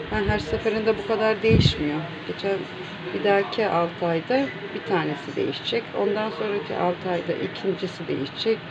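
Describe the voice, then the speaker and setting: Against loud background noise, a woman speaks softly at a moderate pace. Her pitch varies in an ordinary way. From Turkey. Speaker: home cooking vlogger. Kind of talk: casual cooking vlog talk. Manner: soft-spoken. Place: home room. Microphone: phone near.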